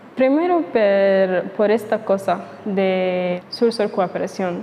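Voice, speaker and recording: Noticeable noise sits in the background. The speaker's pitch moves in an ordinary way. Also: woman. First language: not Spanish; learner (speaking Spanish). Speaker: YouTuber. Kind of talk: casual vlog monologue. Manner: halting, with fillers.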